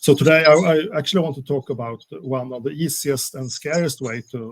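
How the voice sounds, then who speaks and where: Speaking with a Swedish accent, a man keeps a moderate pace and ordinary pitch variation. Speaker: security specialist. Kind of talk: webinar interview. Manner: polite, slightly formal; halting with many fillers.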